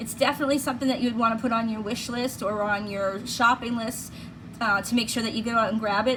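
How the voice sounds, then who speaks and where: A woman with a Boston accent speaks at a very fast pace in a fairly high pitch. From Massachusetts (Plymouth, Boston area). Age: 50s. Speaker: beauty vlogger. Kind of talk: product review. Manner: casual, chatty.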